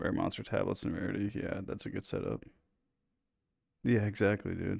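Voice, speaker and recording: A man speaks quietly at a moderate pace. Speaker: gaming streamer. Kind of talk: live gameplay commentary.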